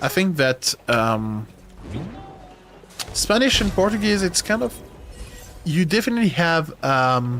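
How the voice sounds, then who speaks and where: In a French accent, a man speaks at a fairly high pitch with very wide pitch swings. He pauses often and at length while music plays in the background. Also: fairly slow pace, very even loudness. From France. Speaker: gaming streamer. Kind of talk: live stream chat while gaming. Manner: halting.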